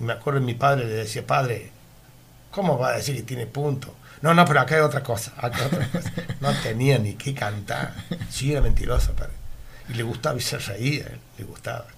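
Audible room echo surrounds a man who talks at a medium pitch and a fairly quick pace, with long, frequent pauses. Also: ordinary pitch variation. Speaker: retired meat delivery worker. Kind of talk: radio interview, reminiscing. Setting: radio studio. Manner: halting, repetitive.

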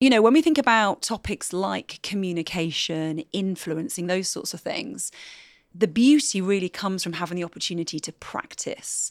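An unremarkable speaking voice from a woman at medium pitch and moderate pace, on a very clean recording with a silent background. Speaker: skills trainer and former TV presenter. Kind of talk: casual interview. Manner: polished presenter style.

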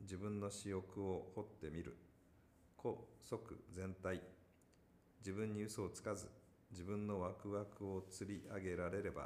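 The man's fairly low voice moves at a fairly slow pace with monotone, flat intonation. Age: 50s. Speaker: company founder and executive. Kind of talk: casual chat; reading aloud.

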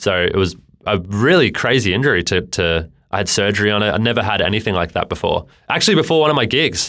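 A man with an Australian accent speaks at a very fast pace in a fairly low pitch, his tone bright and sharp and his intonation lively. His loudness stays very even on a very clean recording with a silent background. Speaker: client manager and musician. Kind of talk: casual chat. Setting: studio.

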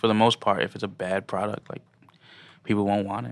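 A man with an American accent and vocal fry, speaking at a fairly quick pace with ordinary pitch variation, on a very clean recording with a silent background. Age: 20s. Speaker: DJ and creative. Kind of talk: interview. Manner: halting, many fillers.

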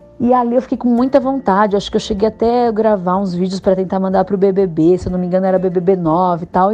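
Over noticeable background noise, a woman talks at a very fast pace with hardly any pauses, medium pitch and ordinary pitch variation. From Osasco, São Paulo, Brazil. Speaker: actress and comedian. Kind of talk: interview.

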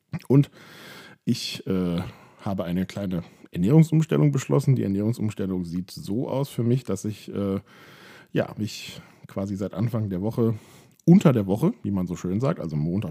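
Over a silent background in a very clean recording, a man with a dark, mellow tone and a fairly low pitch talks at a moderate pace with lively intonation. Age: 30s. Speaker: podcaster documenting weight loss. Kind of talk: personal monologue. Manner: hesitant, many filler sounds.

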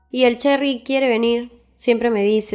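Using a normal speaking voice, a woman talks at a moderate pace with fairly even intonation. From Peru, Huaraz. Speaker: reggaeton singer. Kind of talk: interview.

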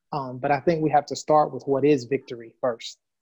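A man with an American accent and a fairly high, somewhat breathy voice at a moderate pace, in a dry, close sound with no echo. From United States. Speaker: guest co-host. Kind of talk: discussion. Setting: video call.

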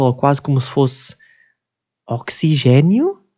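A man's dark, mellow tone with a European Portuguese accent. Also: quiet background. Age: 20s. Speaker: podcaster. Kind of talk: casual monologue. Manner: halting.

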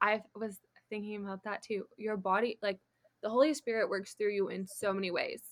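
At a fairly quick pace, a woman talks in an unremarkable speaking voice at medium pitch with fairly even intonation. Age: 20s. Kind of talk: casual chat.

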